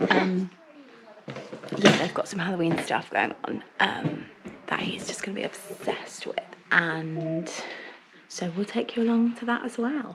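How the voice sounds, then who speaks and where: A woman whispers with a southern English accent at a fairly slow pace, leaving long, frequent pauses against noticeable background noise. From England. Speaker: family vlogger. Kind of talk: casual vlog talk. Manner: whispering.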